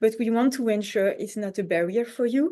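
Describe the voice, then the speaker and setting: Over a quiet background, a woman with a French accent speaks at a fairly quick pace in a dark, mellow tone, her pitch varying an ordinary amount. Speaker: conference organizer. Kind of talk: online info session presentation. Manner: halting, many fillers.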